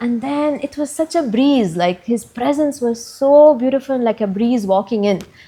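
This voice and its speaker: A woman's high-pitched voice with ordinary pitch variation, set against noticeable background noise. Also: moderate pace. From Lebanon. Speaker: full-time ashram volunteer. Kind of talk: podcast interview answer.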